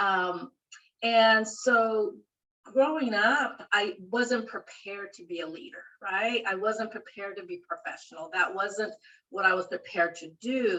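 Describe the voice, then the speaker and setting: Lively intonation and a bright, sharp tone with a Spanish accent, at a fairly slow pace with big swings in loudness. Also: woman, fairly high pitch for a woman. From rural central California. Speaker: library dean. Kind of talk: interview.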